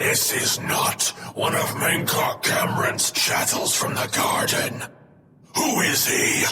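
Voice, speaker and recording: A man uses a put-on character voice with a growl. He speaks at a fairly slow pace, and there is clear echo. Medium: machinima. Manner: harsh, commanding.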